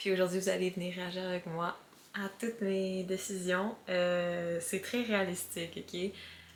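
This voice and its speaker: A woman with a Quebec accent speaks at a fairly slow pace. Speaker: vlogger. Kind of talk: casual vlog talk.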